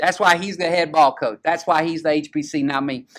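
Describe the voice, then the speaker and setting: A fairly high-pitched man speaks at a moderate pace in a very clean recording with a silent background. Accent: Southern US. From US South. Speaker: high school football show host. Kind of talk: casual chat. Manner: animated.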